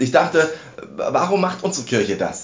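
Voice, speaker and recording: A man's somewhat breathy voice carries lively intonation, with audible room echo around it. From Saxony, Dresden. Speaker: podcast host, church lay delegate. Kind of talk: casual chat.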